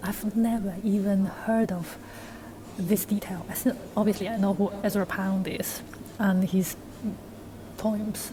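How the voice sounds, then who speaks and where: A woman at medium pitch talks fairly slowly in a monotone, flat intonation. Noticeable background noise can be heard. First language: non-English. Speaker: university student vlogger. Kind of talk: casual vlog talk. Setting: walking outdoors. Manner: conversational, with fillers.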